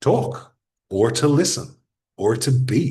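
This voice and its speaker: The man's voice is somewhat breathy. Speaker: podcasting expert. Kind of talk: workshop talk.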